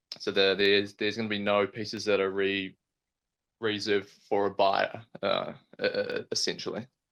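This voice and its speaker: In a New Zealand accent, a man speaks at a moderate pace against a quiet background. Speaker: astrophotographer. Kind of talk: casual chat. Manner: halting, frequent repetitions.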